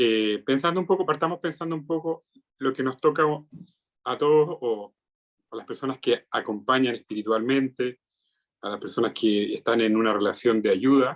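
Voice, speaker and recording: In a Chilean accent, a man speaks at a moderate pace with a medium pitch and ordinary pitch variation. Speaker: psychiatrist. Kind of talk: lecture.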